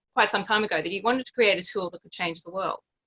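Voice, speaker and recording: Speaking with an Australian accent, a woman has a fairly high pitch. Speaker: psychologist coach. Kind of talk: podcast interview.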